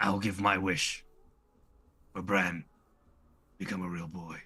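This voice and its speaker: A man uses a put-on character voice that is raspy and very deep, low in pitch. His delivery is monotone and flat at a fairly slow pace. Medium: actual play.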